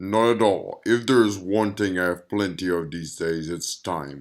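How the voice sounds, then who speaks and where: In a very clean recording with a silent background, a man does a put-on character voice at a very deep, low pitch, with ordinary pitch variation and a moderate pace. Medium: read story. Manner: dry, guarded.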